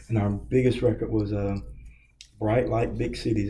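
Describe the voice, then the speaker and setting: A man speaking in an American accent is heard with audible room echo. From Kentucky. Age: 60s. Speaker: record store owner. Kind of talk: interview. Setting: empty hallway.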